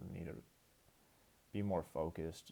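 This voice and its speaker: A man's dark, mellow tone at a moderate pace with ordinary pitch variation. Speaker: online poker player. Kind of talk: gameplay commentary. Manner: casual, with filler words.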